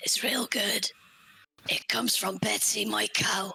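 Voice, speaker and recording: This is a put-on character voice with a raspy edge. It moves at a fairly slow pace. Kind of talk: folksy, plain-spoken.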